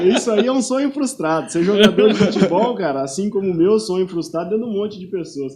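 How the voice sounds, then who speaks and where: High-pitched male voice racing at a very fast pace, lively in intonation with hardly any pauses, over noticeable background noise. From Paraná interior, Brazil. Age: 30s. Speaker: personal trainer and football referee. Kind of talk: casual interview chat. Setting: podcast studio, live stream.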